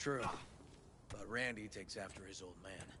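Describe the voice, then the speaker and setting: Putting on a character voice, a man sounds raspy and fairly low in pitch, keeping his intonation fairly even at a moderate pace over clear background noise. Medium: video game. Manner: laconic, dry.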